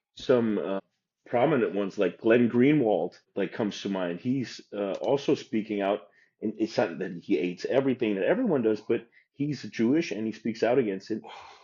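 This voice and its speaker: His pitch lands in the medium range for a man, with ordinary variation. He keeps a moderate pace. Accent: German. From Germany. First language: German. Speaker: professional bodybuilder. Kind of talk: casual chat.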